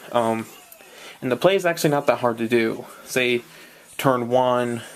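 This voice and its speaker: Over noticeable background noise, a man at a medium pitch speaks with ordinary pitch variation and long, frequent pauses. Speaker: card game deck reviewer. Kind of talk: casual talk to camera. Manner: hesitant, stuttering, many fillers.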